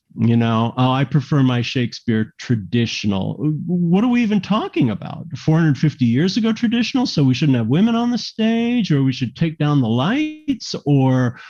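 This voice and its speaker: In an American accent, a man with a fairly high pitch and a dark, mellow, somewhat breathy tone speaks at a moderate pace with hardly any pauses. His pitch swings very widely while his loudness stays very even. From US, Miami. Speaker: theater artistic director. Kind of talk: interview. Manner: animated.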